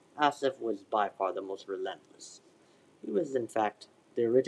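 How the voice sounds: A natural reading voice, intonation lively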